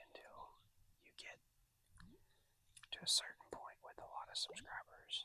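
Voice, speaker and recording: Whispering, a man speaks at a moderate pace. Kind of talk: ASMR fishing vlog. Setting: outdoors. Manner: soft whispering.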